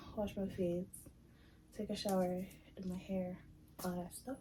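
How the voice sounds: A woman speaks with a dark, mellow, raspy tone at a fairly low pitch. Her pitch moves very little.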